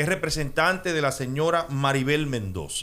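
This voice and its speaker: A man speaks at a fairly slow pace. His voice is fairly high and has a bright, sharp tone. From Dominican Republic. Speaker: radio host. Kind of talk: radio interview. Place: studio. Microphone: studio mic.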